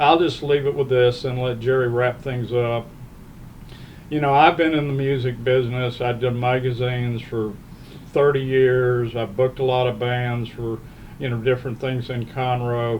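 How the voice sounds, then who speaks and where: A man's medium-pitched voice, monotone and flat, at a moderate pace against noticeable background noise. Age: 70s. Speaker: podcast host, music magazine publisher. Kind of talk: casual podcast chat.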